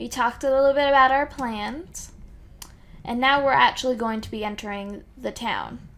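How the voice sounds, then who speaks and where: Her pitch is high for a woman. Her loudness swings widely. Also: ordinary pitch variation, moderate pace. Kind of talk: casual let's play commentary.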